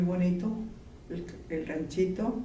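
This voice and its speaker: Audible room echo surrounds a woman speaking at a very slow pace. Her fairly low voice has monotone, flat intonation. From Texas, Laredo. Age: 70s. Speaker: interviewee. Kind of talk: interview.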